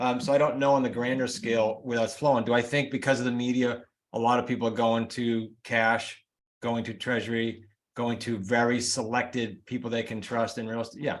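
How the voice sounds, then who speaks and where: In a New England accent, a man talks at a fairly quick pace with monotone, flat intonation. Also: medium pitch for a man. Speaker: real estate coach and author. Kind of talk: interview. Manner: fast.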